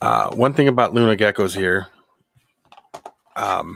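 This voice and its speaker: Loud and bright with a sharp tone, a man speaks in an American accent. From Philadelphia. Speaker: reptile breeder. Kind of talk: casual chat.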